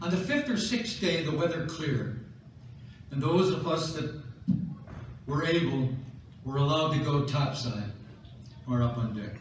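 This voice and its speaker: Long, frequent pauses from a man with an American accent at a fairly high pitch, with audible room echo and noticeable background noise. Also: lively intonation, moderate pace. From US Midwest, Chicago. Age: 90s. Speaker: war veteran. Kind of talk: speech to an audience, war memoir. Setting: stage with audience at a school military ball.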